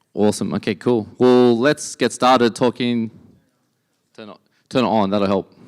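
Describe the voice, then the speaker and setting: A man with an Australian accent speaks at a moderate pace and medium pitch, with fairly even intonation, big swings in loudness and long, frequent pauses. The recording is very clean, dry and close, with a silent background and no echo. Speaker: entrepreneur and conference speaker. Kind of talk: conference talk.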